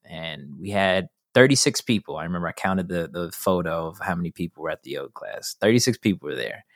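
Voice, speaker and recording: Dry and close with no echo, this very clean recording with a silent background captures a man with a Californian accent speaking at a fairly quick pace. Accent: Californian American English. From Los Angeles. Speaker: filmmaker, actor and activist. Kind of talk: casual interview chat.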